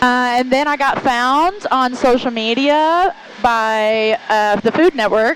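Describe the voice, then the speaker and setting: A woman talks at a very slow pace and a high pitch, with lively intonation and very even loudness. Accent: Southern US. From Arkansas (Jonesboro), US South. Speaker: model, reality TV personality and barrel racer. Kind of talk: casual interview chat.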